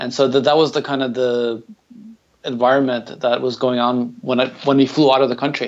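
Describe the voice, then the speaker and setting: In an American accent, a man talks at a fairly quick pace with a medium pitch and monotone, flat intonation. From Ukraine, then San Antonio, Texas. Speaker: marketing director and software developer. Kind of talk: interview.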